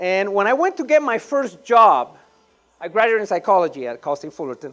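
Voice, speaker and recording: The speaker talks at a moderate pace with a Panamanian accent. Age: 50s. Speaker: real estate investor. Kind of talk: conference talk.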